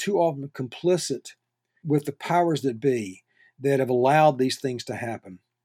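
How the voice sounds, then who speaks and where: Lively intonation and a dark, mellow tone define this man's voice, heard with a dry, close sound and no echo. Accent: Southern US. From North Carolina. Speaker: journalism professor. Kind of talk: interview. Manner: halting.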